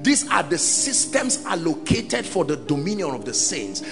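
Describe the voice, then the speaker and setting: A man speaks with very wide pitch swings over clear music in the background. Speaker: preacher. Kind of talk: sermon preached to a congregation. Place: church. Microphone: handheld.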